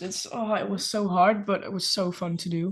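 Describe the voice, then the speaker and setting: A woman with a Dutch accent speaks in a somewhat breathy voice. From Netherlands. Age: 20s. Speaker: nail artist and ceramist. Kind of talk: casual interview chat. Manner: hesitant, many fillers.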